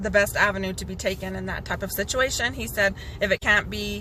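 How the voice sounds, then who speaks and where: There is noticeable background noise. Under it, a woman talks at a moderate pace. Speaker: cancer patient vlogger. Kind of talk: personal video update. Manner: halting, with many fillers.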